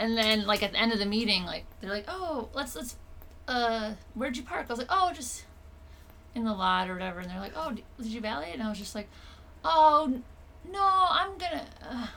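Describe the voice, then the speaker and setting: In a Minnesotan accent, a woman speaks at a fairly quick pace with a fairly high voice and very wide pitch swings. Her loudness swings widely, and she takes long, frequent pauses. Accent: Minnesota. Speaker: comedian. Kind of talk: casual chat. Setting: home living room.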